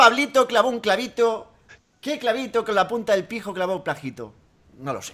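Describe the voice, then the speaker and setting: A man with a high pitch speaks at a moderate pace in a raised, projected voice, his bright, sharp tone animated, with lively intonation and big swings in loudness. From Spain. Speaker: gaming youtuber; gaming youtuber hosting a radio-style segment. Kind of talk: comedic call-in show. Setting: Skype call.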